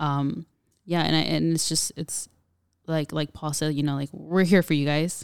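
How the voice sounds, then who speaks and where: In an American accent, the speaker's intonation stays monotone and flat, with a dry, close sound, no echo, and a very clean recording with a silent background. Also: woman. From Southern California. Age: 20s. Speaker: youth outreach supervisor. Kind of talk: casual interview.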